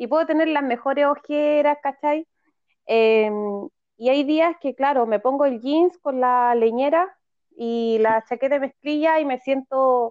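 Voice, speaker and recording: A woman with a Chilean accent, high in pitch, at a fairly slow pace with fairly even intonation. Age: 40s. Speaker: feminist activist, podcast co-host. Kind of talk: casual chat.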